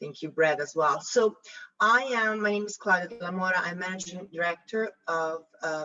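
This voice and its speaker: A woman's fairly low voice in an Italian accent, at a fairly quick pace with ordinary pitch variation. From Italy. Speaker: investor judge, advisory firm director. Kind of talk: self-introduction on panel.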